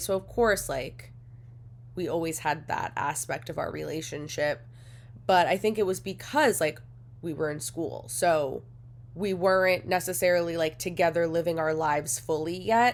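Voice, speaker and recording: With vocal fry and lively intonation, a woman talks at a moderate pace and a fairly low pitch on a very clean recording with a silent background. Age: 30s. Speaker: podcast co-host. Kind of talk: casual solo podcast talk.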